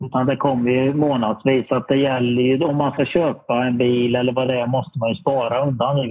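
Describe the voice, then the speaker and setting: A man with a medium pitch speaks at a moderate pace in a plain, everyday voice. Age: 50s. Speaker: lottery winner, workshop industry worker. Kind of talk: interview. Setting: video call.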